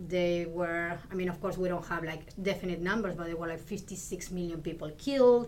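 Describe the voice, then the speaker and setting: Over noticeable background noise, a woman with an Argentine accent talks at a moderate pace with hardly any pauses, her pitch fairly low and her intonation fairly even. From Argentina. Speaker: Spanish lecturer, professor. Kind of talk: interview conversation.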